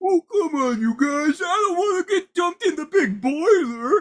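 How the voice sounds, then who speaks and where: This is a put-on character voice at an extremely high pitch. It carries a whiny tone. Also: moderate pace. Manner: whiny, dim-witted, worried.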